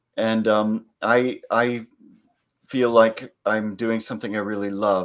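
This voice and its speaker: At a very slow pace, a man talks in a flat monotone at medium pitch, on a very clean recording with a silent background. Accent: Californian. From California. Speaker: psychology lecturer and executive coach. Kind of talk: panel Q&A.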